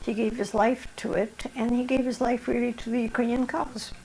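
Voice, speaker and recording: A woman with a fairly high pitch at a moderate pace, over noticeable background noise. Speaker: Ukrainian Canadian wartime servicewoman and association member. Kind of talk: oral history interview answer.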